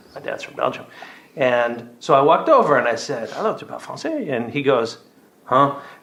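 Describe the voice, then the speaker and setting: Amid audible room echo, a man with a fairly high pitch talks fairly quickly, with ordinary pitch variation and big swings in loudness. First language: French. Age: old. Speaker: doctor. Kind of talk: casual chat.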